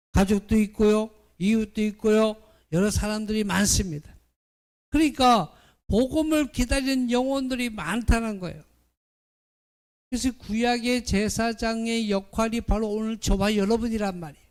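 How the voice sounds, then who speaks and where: Long pauses turn up frequently. Otherwise the pace is moderate. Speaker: pastor. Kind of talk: sermon. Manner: loud.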